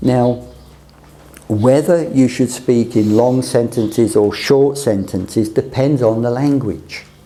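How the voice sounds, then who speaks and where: The speaker has a British accent and talks at a fairly slow pace with ordinary pitch variation. Audible room echo is present. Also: man. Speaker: teacher of communication skills. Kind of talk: lecture.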